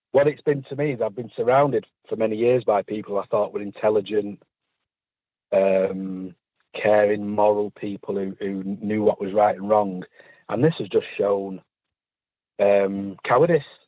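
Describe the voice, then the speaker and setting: At a moderate pace, a man speaks with a fairly low pitch and ordinary pitch variation, leaving long, frequent pauses. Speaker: intensive care hospital worker. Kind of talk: interview.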